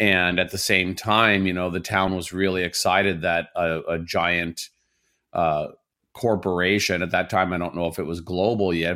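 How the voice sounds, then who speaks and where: A man talks with very deep, low pitch. His tone is bright and sharp. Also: very clean recording, silent background. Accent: American. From southern Indiana, US Midwest. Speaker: chef and cookbook author. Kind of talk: casual interview.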